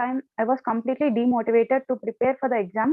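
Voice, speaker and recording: A woman with an Indian accent speaks quickly-ish, at a fairly quick pace, in a high pitch. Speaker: volunteer. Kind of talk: personal testimony.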